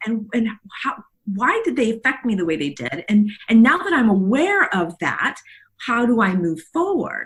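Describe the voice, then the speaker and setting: A woman talks at a moderate pace in a fairly high, somewhat breathy voice. Her pitch swings very widely. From South Texas, Mexican border. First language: Spanish. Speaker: leadership coach. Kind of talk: interview. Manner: halting, many fillers.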